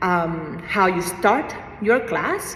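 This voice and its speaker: Through audible room echo and noticeable background noise, a woman speaks with ordinary pitch variation. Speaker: fitness instructor. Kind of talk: tutorial. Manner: casual, hesitant with fillers.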